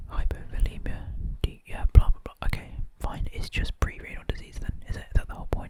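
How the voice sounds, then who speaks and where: A fairly quick whisper. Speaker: doctor. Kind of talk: ASMR study session. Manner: whispered, quiet.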